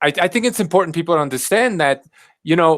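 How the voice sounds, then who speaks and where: A man's fairly high voice with an American accent, very wide pitch swings and vocal fry, on a very clean recording with a silent background. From Southern California. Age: 40s. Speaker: carnivore diet YouTuber. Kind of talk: casual chat.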